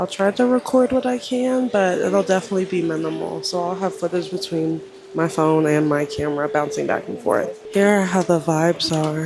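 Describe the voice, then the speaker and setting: A woman's speech moves at a moderate pace, with music in the background. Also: hardly any pauses. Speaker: travel vlogger. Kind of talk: travel vlog narration. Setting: hot springs spa.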